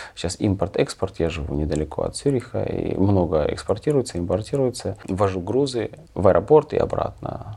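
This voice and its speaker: A man speaks at a moderate pace in a fairly low pitch, his dark, mellow tone somewhat breathy. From Ukraine. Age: 40s. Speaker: truck driver and emigrant. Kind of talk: interview.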